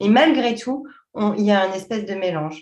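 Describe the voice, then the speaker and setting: Speaking at a moderate pace, a woman uses lively intonation in a somewhat breathy voice. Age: 40s. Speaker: journalist and coach. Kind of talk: interview.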